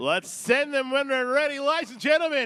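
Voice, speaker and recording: The man's raised, projected voice has an extremely high pitch. Its tone is bright and sharp, with ordinary pitch variation. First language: not English. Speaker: drift commentator. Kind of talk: live commentary. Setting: outdoors at race track.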